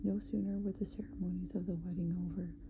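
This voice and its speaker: A soft-spoken voice at a moderate pace. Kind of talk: sleep story, bedtime story reading. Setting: ASMR recording.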